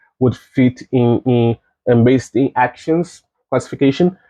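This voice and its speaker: At a moderate pace, a man with a non-native accent speaks at a medium pitch with fairly even intonation. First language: not English. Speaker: game developer. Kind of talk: recorded conference talk. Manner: halting, many fillers and restarts.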